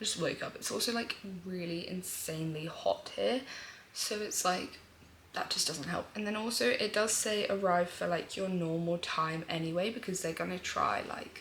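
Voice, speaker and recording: Speaking with a British accent, a woman talks at a moderate pace with a medium pitch and ordinary pitch variation. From UK. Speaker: vlogger. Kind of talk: casual vlog chat. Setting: at home, early morning. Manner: animated.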